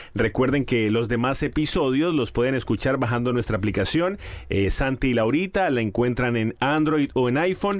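A man with a Colombian accent speaks at a medium pitch and a moderate pace, with lively intonation, very even loudness and hardly any pauses. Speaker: podcast co-host. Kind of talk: casual chat.

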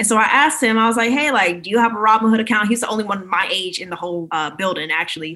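A woman with an American accent and a fairly high pitch talks at a very fast pace with hardly any pauses and lively intonation, over noticeable background noise. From Maryland, US. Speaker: realtor and personal finance influencer. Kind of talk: podcast interview.

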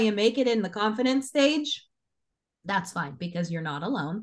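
Here is a woman with a plain, everyday voice and a fairly high pitch. She talks at a moderate pace with lively intonation. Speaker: business owner and conference co-founder. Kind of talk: casual podcast interview.

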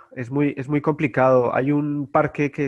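A man speaks at a fairly slow pace. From Colombia, Bogotá. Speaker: guest, Star Wars collector. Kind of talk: casual chat.

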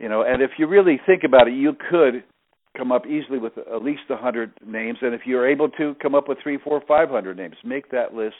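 A man at a medium pitch with an unremarkable speaking voice, lively intonation and a fairly quick pace. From US Northeast, New Jersey. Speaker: network marketing leader. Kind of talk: interview.

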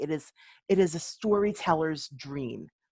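Her tone is dark and mellow. The woman's recording is very clean, with a silent background. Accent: American. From Philadelphia, US. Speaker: resume writer and coach. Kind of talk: interview.

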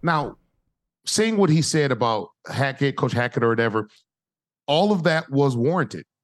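Animated and fairly high-pitched, a man speaks at a moderate pace with lively intonation, very even loudness, and long, frequent pauses. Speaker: former pro football player and analyst. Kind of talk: casual sports talk.

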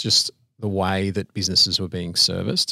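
A man's fairly low-pitched, bright, sharp tone at a fairly quick pace, dry and close with no echo, on a very clean recording with a silent background. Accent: Australian. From Australia, Sydney. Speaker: business owner. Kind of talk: casual interview.

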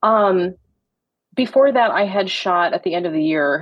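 A woman with an American accent, an unremarkable speaking voice, at a moderate pace with ordinary pitch variation. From US Midwest (Michigan). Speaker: makeup artist. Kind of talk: casual interview chat.

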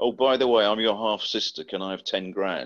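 The man's voice sits at a medium pitch with a bright, sharp tone. He keeps a moderate pace over a quiet background. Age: 50s. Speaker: actor and voice actor. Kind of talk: casual chat.

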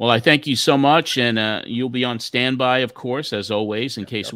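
With an American accent, a man talks at a moderate pace in a bright, sharp tone, the sound dry and close with no echo on a very clean recording with a silent background. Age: 60s. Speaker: wrestling podcast host. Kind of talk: casual chat.

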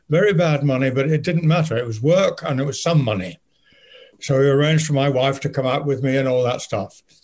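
Somewhat breathy, a man speaks at a fairly quick pace with a fairly high pitch and ordinary pitch variation. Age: old. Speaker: actor. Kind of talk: interview. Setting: video call.

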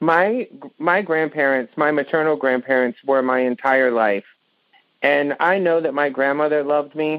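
This man speaks with an American accent at a fairly high pitch, with ordinary pitch variation and very even loudness. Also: moderate pace. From US South. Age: 40s. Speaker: caller. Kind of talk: casual chat. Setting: phone call.

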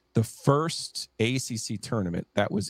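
This man with a New Jersey accent talks at a fairly slow pace at a medium pitch, in a dry, close sound with no echo. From New Jersey, near New York State border. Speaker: sports podcaster. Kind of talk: casual chat.

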